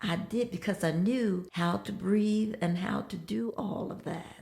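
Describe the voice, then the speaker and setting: A woman speaks very slowly while noticeable background noise continues. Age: 80s+. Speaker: competitive bodybuilder. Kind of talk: interview answer.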